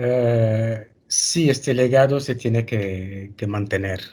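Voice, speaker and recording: A man speaks at a very slow pace with fairly even intonation. His tone is dark and mellow, and somewhat breathy. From Mali, Timbuktu. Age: 60s. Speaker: library director and manuscript custodian. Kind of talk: webinar interview. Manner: calm, serene.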